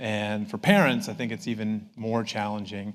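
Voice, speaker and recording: The speaker is a man. He talks with an Upper Midwest accent. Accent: Upper Midwest American. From northern Minnesota. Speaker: professor. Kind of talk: public talk.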